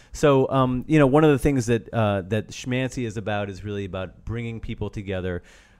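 A man uses a plain, everyday voice at a fairly quick pace, with ordinary pitch variation. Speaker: rabbi. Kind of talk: casual interview chat.

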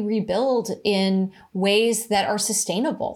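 In a very clean recording with a silent background, a woman talks. She has an American accent and a medium pitch. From California, Cupertino. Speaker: tech entrepreneur. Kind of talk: interview.

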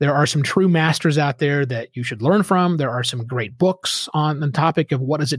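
With an American accent, a man speaks at a fairly quick pace in a fairly high, somewhat breathy voice with ordinary pitch variation. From Oklahoma. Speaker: podcasting consultant and author. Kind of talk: casual interview. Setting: remote recording through a studio microphone.

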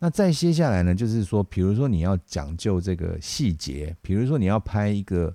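A man's very deep, low voice with a dark, mellow tone and lively intonation, at a moderate pace, on a very clean recording with a silent background and a dry, close sound with no echo. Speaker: podcast host, video production professional. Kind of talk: casual monologue. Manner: hesitant, many fillers.

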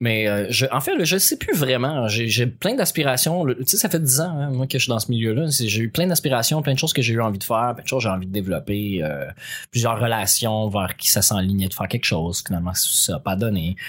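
In an ordinary speaking voice, a man talks at a medium pitch and a fairly quick pace, his intonation lively. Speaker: podcast co-host. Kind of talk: casual chat.

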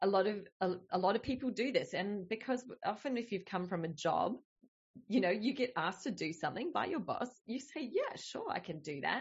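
A woman's fairly high, somewhat breathy voice with an Australian accent, very wide pitch swings and a moderate pace. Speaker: business coach. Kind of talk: casual interview chat.

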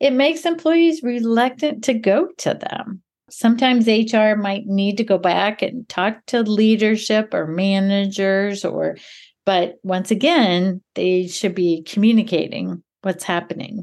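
A woman's fairly high voice at a fairly slow pace, a plain, everyday voice. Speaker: podcast co-host and HR consultant. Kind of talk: casual conversational podcast discussion.

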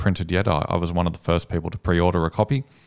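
A man with an Australian accent speaks at a very fast pace with a very deep, low pitch. The recording is very clean, with a silent background. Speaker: copywriting agency owner, former journalist. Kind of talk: interview conversation.

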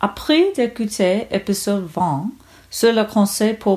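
Somewhat breathy and fairly high in pitch, a woman speaks at a very slow pace. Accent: English. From United States. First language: English (speaking French). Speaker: podcast listener, French learner. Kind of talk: recorded listener testimony.

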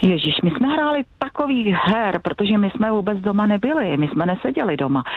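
A woman's medium-pitched voice with very wide pitch swings, a fairly quick pace and very even loudness, over noticeable background noise. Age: 60s. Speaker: secondary school science teacher. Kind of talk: phone interview. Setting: phone call.

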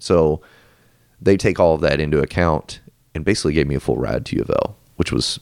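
A man's very deep, low voice with vocal fry, fairly quick pace between long, frequent pauses, and ordinary pitch variation. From Louisville, Kentucky. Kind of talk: casual interview chat.

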